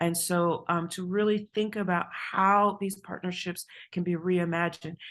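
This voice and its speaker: Against a quiet background, a woman talks at a medium pitch in a flat, monotone way. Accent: New York. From New York. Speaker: university administrator. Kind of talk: conference presentation. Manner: fast.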